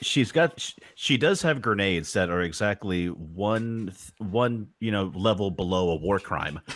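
An ordinary speaking voice moves at a fairly slow pace with lively intonation. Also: man, fairly low pitch for a man. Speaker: player. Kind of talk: tabletop role-playing game actual play, casual.

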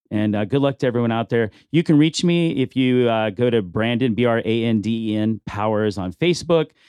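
A man with an American accent and a normal speaking voice talks in a medium pitch. His pace is fairly quick. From Bakersfield, California. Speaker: restaurant owner. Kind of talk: casual interview.

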